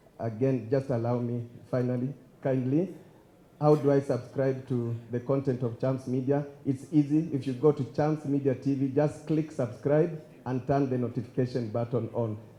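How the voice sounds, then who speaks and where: This man's voice is medium in pitch, dark and mellow in tone, and somewhat breathy. He keeps a moderate pace with fairly even intonation. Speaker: master of ceremonies. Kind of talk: event emceeing.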